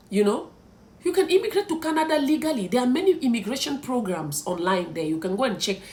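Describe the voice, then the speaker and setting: Speech comes at a very fast pace in a Cameroonian accent, with very wide pitch swings. Noticeable background noise sits under the voice. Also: woman, high pitch for a woman. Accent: Cameroonian francophone English. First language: French. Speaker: content creator. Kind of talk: vlog advice talk.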